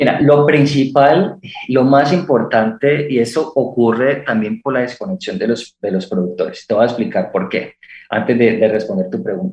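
His voice sits at a medium pitch. The man's pitch swings very widely. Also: moderate pace. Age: 30s. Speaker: startup founder and rancher. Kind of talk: radio interview.

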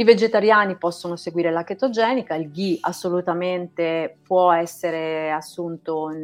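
A woman talks at a moderate pace in a normal speaking voice, fairly low in pitch with fairly even intonation. The background is quiet. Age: 50s. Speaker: naturopath. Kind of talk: casual chat. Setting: live stream.

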